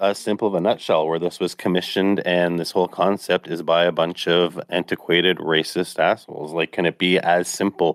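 The speech moves at a fairly quick pace. The speaker has a Canadian accent. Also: man. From Canada. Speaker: podcast co-host. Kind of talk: casual chat. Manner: halting, many filler words.

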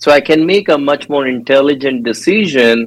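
Speaking at a moderate pace, a man with an Indian accent uses a fairly high pitch. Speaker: dental education director. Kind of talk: casual interview.

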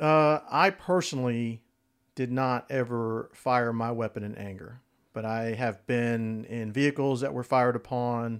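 A man's medium-pitched, unremarkable speaking voice at a fairly slow pace, with ordinary pitch variation, in a very clean recording with a silent background. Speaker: retired army colonel, guest. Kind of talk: casual discussion.

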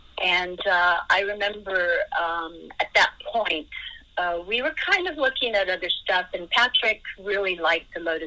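A woman with an American accent at a fairly slow pace, ordinary pitch variation, and noticeable background noise. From USA. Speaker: racing driver. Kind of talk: interview. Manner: halting.

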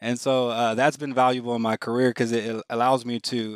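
With an American accent, a man speaks at a moderate pace and medium pitch in a monotone, flat delivery, the sound dry and close with no echo. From Houston, Texas. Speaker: hospital facilities director. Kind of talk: interview. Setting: video call. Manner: hesitant, many fillers.

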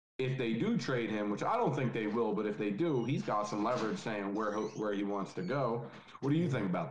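A man with a medium-pitched voice talks at a fairly quick clip with lively intonation and very even loudness, with audible room echo and noticeable background noise. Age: 20s. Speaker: football podcast guest. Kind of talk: casual chat.

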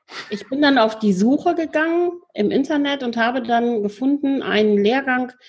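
A woman speaks in a normal speaking voice with lively intonation. Her pace is moderate. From Lower Rhine region, Germany. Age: 40s. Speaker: volunteer hospital chaplain trainee and psycho-oncology counsellor. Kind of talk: interview.

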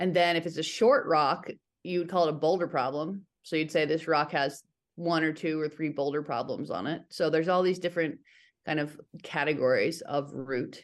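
A woman with a Western US accent and a very deep, low pitch speaks with fairly even intonation over a quiet background. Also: moderate pace. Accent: Western American. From Northern Nevada, US. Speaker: climber, writer and business owner. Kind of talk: casual interview.

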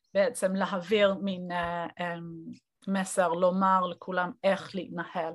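The pace is very slow. A woman speaks with a medium pitch. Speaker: lecturer and scholar. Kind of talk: lecture. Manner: halting, many fillers and repetitions.

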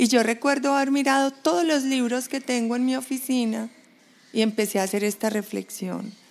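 This woman has an unremarkable speaking voice, fairly high in pitch, moving at a moderate pace with ordinary pitch variation. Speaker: brand strategist. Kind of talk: interview. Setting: home balcony.

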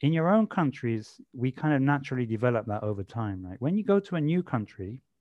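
A man with a London accent, medium-pitched, dark and mellow in tone, his pitch swinging very widely, in a dry, close sound with no echo. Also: quiet background. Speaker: corporate leadership and change specialist. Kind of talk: podcast interview. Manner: casual, lots of fillers.

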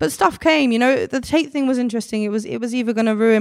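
A woman speaks with a South London accent and lively intonation. The recording is very clean, with a silent background. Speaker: artist and activist. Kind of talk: casual interview chat.

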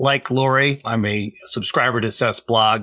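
A man has an ordinary speaking voice with an American accent, at a fairly slow pace and with fairly even intonation. The sound is dry and close, with no echo. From Massachusetts, Boston area. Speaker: cleantech entrepreneur. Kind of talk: casual chat.

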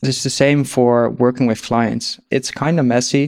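A man with a Dutch accent speaks at a medium pitch in a monotone, flat intonation. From Netherlands. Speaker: agency founder. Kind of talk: interview, business talk.

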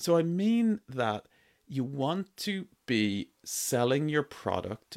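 On a very clean recording with a silent background and a dry, close sound with no echo, a man with an Irish accent speaks at a very slow pace with very wide pitch swings. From Ireland. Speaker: entrepreneur podcast host. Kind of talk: solo podcast monologue. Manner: casual, uses many fillers.

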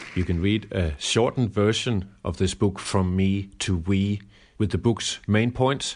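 Very deep, low male voice, ordinary pitch variation, moderate pace. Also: quiet background. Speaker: climate activist podcast host. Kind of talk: commentary.

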